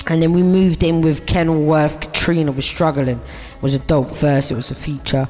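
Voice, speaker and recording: Music plays in the background. The speech runs at a fairly quick pace with hardly any pauses. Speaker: radio host. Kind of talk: radio show hosting between music tracks. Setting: online audio show on Clubhouse. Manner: casual, laid-back, chatty.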